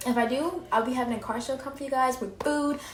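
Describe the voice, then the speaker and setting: A woman's speech comes with audible room echo and noticeable background noise around it. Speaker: vlogger. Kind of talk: casual vlog monologue. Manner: fast.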